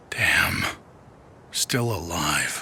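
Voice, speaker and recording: A raspy, put-on character voice comes through against clear background noise. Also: man. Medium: machinima. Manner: wry, laid-back.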